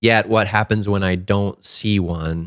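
On a very clean recording with a silent background and a dry, close sound with no echo, a man with a plain, everyday voice speaks at a fairly low pitch with fairly even intonation. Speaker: podcast co-host. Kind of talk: prayer and casual discussion.

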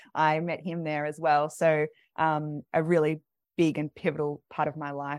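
A woman with an Australian accent, a very deep, low pitch and monotone, flat intonation, in a dry, close sound with no echo and a very clean recording with a silent background. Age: 30s. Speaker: doula. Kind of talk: interview.

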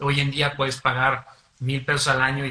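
A man talks at a moderate pace. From San Luis Potosí, Mexico. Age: young. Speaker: singer-songwriter and lawyer. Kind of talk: radio interview. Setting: radio studio.

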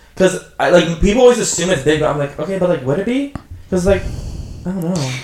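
A man talks at a very fast pace in a high voice with lively intonation. Background noise is noticeable. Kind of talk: casual chat. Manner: halting, filler-heavy.

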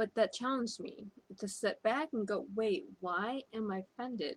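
A woman with an American accent speaks at a moderate pace in a fairly high, somewhat breathy voice whose pitch swings very widely. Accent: foreign accent syndrome. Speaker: spiritual coach. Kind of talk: motivational talk.

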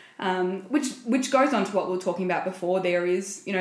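A woman's fairly low voice amid noticeable background noise and audible room echo. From small rural town. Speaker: podcast co-host. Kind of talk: casual chat.

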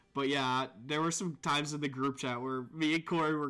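The voice belongs to a man with a bright, sharp tone. The recording is very clean, and the background is silent. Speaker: podcast host. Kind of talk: casual live-play podcast chat. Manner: casual, laughing, profanity.

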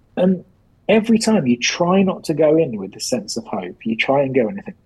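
A somewhat breathy man's voice at a fairly high pitch, with very wide pitch swings and a moderate pace. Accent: English. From England. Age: 40s. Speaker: science journal editor. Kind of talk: interview.

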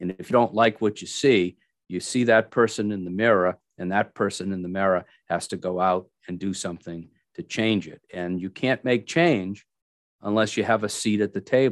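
A man speaks in a plain, everyday voice, fairly low in pitch, at a moderate pace with ordinary pitch variation and big swings in loudness. The sound is dry and close with no echo, over a quiet background. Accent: American. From Massachusetts. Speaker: state legislator. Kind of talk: casual interview.

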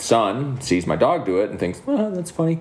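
A man speaks at a moderate pace, his intonation lively, while noticeable background noise is present. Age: 30s. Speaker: podcast host. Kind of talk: casual chat.

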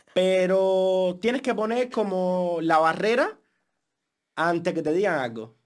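A man with a Cuban accent and a high pitch talks at a very slow pace. His intonation is lively. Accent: Cuban accent, keeps it. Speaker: podcast co-host. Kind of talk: casual chat.

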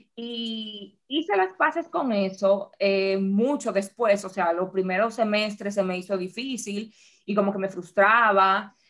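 A woman talks at a very slow pace with hardly any pauses. Her pitch variation is ordinary. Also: medium pitch for a woman. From Dominican Republic. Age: 30s. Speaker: podcast co-host. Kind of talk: casual chat.

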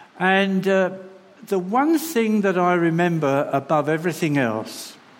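Over noticeable background noise and audible room echo, a man speaks at a very slow pace in a high pitch with lively intonation. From London. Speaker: charity representative. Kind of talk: sermon. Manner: halting.

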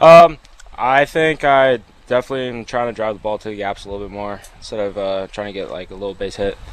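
Talking at a very fast pace, a man with a fairly low pitch and ordinary pitch variation makes big swings in loudness. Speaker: college baseball player. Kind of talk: post-game interview.

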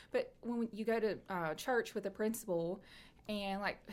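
With a Tennessee accent, a woman talks in a fairly even intonation. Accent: Southern US (Tennessee). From East Tennessee (Knoxville). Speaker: chamber of commerce director. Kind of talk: casual interview chat. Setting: live video stream.

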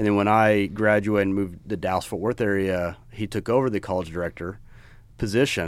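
A man with an American accent and fairly low pitch at a fairly quick pace, with music in the background. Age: 40s. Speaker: podcast co-host, apparel business co-founder. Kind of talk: casual chat.

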